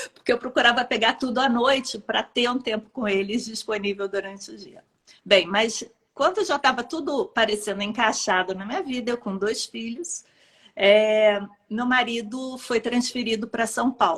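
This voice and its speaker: A woman's fairly high voice in a Rio de Janeiro accent, with ordinary pitch variation and a moderate pace. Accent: carioca. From Rio de Janeiro, Brazil. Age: 50s. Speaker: pediatrician. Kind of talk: interview testimony.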